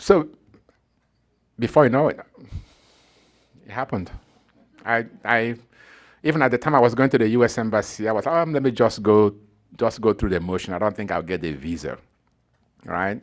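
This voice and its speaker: Speaking at a fairly quick pace with a Nigerian accent, a man with a medium-pitched voice uses lively intonation and long, frequent pauses, on a very clean recording with a silent background. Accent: Nigerian accent, noticeable. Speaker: professor. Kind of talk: talk to an audience, personal story. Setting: evening talk with live audience.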